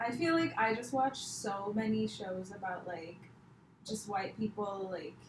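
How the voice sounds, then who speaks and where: The speaker has an American accent and lively intonation at a fairly slow pace. Audible room echo and noticeable background noise are present. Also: woman, medium pitch for a woman. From India, Mumbai. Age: 20s. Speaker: comedian. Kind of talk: casual chat.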